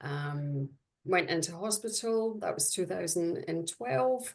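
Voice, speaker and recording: A woman with a Scottish accent against a quiet background. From Scotland. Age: 40s. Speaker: dialysis patient. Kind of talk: personal testimony on webinar panel. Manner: hesitant, many fillers.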